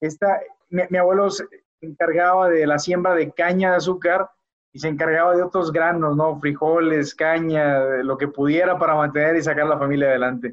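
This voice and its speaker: A man speaks at a moderate pace, his fairly high voice held to a fairly even intonation. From Mexico, Culiacán, Sinaloa. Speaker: biotech company executive. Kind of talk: interview. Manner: halting, many repetitions and fillers.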